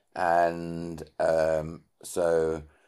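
The recording is very clean, with a silent background. A man speaks in a dark, mellow tone. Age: 60s. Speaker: CEO mentor and leadership expert. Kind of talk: interview.

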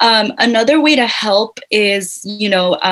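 Speaking in an American accent, the woman holds a medium pitch. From Whittier, California. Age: 20s. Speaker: community project co-founder. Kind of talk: interview conversation. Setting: video call.

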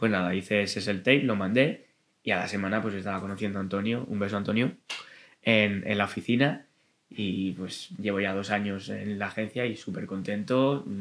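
At a moderate pace, a man speaks with a bright, sharp tone, a fairly low pitch and ordinary pitch variation. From Madrid, Spain (Vallecas). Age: 20s. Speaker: actor and stand-up comedian. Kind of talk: casual chat.

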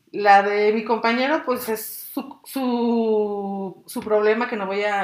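A woman with a fairly high voice sounds animated, with ordinary pitch variation and noticeable background noise behind her. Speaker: podcast co-host, public relations worker. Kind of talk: casual chat.

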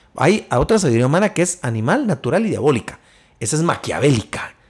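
The delivery is very fast. The pitch swings very widely. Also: man. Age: 50s. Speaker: entrepreneur and men's ministry leader. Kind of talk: casual chat.

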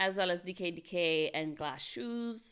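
A woman speaks at a very slow pace in a bright, sharp tone with ordinary pitch variation. The recording is very clean, with a silent background. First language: not English. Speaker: podcast co-host. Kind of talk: casual chat.

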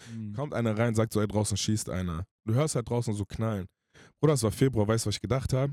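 Very fast speech in a dark, mellow tone with ordinary pitch variation, dry and close with no echo, on a very clean recording with a silent background. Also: man, medium pitch for a man. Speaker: singer. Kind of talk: casual chat. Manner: animated.

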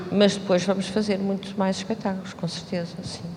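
Amid noticeable background noise and audible room echo, a woman speaks at a moderate pace and medium pitch with monotone, flat intonation. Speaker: choreographer. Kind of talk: post-show talk.

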